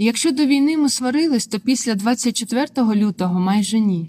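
Her voice is fairly high and somewhat breathy, as this woman talks at a moderate pace with lively intonation. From southern Ukraine, Melitopol. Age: 20s. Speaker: journalism student and former TV channel worker. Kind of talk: personal testimony narration.

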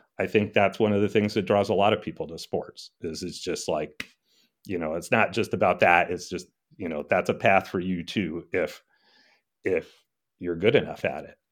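A man with an American accent speaks at a moderate pace in an ordinary speaking voice. His pitch sits fairly low, the intonation stays fairly even, and the loudness swings widely. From US Northeast, Connecticut. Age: 60s. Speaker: golf course architect. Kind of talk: interview conversation. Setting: remote call.

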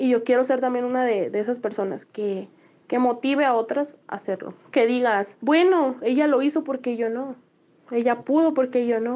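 Her voice is high for a woman, moving at a moderate pace with ordinary pitch variation. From Mexico, Los Mochis, Sinaloa. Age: 20s. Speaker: delivery rider and motorcycle traveler. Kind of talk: interview.

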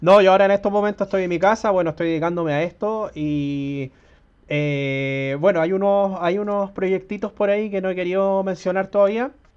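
Fairly quick speech carries ordinary pitch variation. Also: man, high pitch for a man. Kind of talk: interview.

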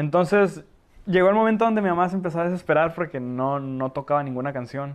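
Against a quiet background, a man talks at a very fast pace. His voice is high, with ordinary pitch variation. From Tijuana, Mexico (born in Ecatepec, moved at four). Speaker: accordion player and backing vocalist. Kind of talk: casual interview chat. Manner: halting, repeats words.

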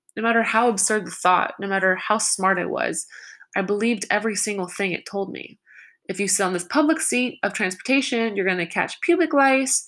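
Here is an unremarkable speaking voice: a woman of medium pitch talking at a fairly quick pace with lively intonation. The recording is very clean, with a silent background. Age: 20s. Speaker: vlogger. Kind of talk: personal testimony.

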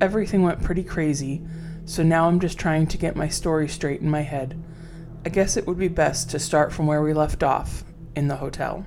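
Music plays in the background. A woman speaks at a very deep, low pitch. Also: fairly even intonation, moderate pace. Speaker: horror storyteller podcast host. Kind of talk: horror story narration, reading a listener's first-person account aloud.

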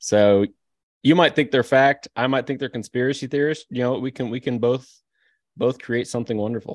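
A man talks fairly quickly in a plain, everyday voice, medium in pitch with fairly even intonation. The sound is dry and close with no echo, in a very clean recording over a silent background. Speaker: podcast co-host. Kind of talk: comedic debate, casual chat.

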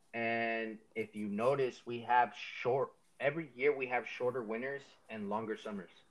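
A man with an unremarkable speaking voice, medium pitch and fairly even intonation, at a moderate pace. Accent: American. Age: 20s. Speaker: rapper. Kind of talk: casual chat.

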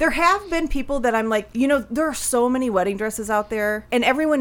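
With lively intonation and a fairly quick pace, a woman talks in an unremarkable speaking voice. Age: 40s. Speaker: podcast co-host. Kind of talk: casual chat. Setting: studio.

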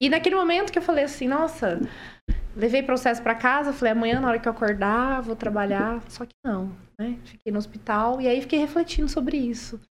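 High-pitched and fairly quick, a woman talks with lively intonation. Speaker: career mentor. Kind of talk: podcast interview.

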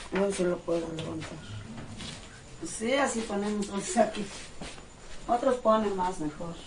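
A woman speaks at a fairly slow pace with long, frequent pauses, amid noticeable background noise and audible room echo. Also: medium pitch for a woman, ordinary pitch variation. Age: 70s. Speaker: prayer leader for the dead. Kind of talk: casual explanation.

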